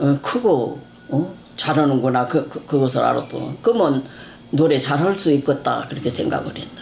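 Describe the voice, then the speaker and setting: A woman's very deep, low voice at a moderate pace with ordinary pitch variation and noticeable background noise. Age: 80s+. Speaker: mother of a missing person. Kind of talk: interview. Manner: halting.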